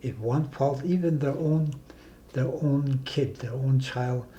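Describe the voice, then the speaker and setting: At a fairly slow pace, a man speaks with a dark, mellow, somewhat breathy tone and ordinary pitch variation. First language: Dene (North Slavey). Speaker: community elder and self-government negotiator. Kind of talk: interview conversation. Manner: halting.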